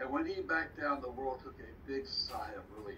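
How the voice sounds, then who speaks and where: A fairly slow American accent comes through noticeable background noise and audible room echo. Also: man. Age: 70s. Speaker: retired professor teaching online history class. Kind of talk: online lesson. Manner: halting.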